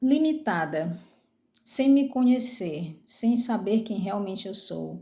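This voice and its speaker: A woman speaks very slowly in a fairly high, somewhat breathy voice. Her tone is dark and mellow. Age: 40s. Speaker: vlogger. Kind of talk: personal testimony. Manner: halting, many fillers.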